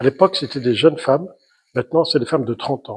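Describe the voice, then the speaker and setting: A man's fairly high-pitched voice comes across as somewhat breathy. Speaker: writer and journalist. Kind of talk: author talk to an audience. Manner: hesitant, many fillers.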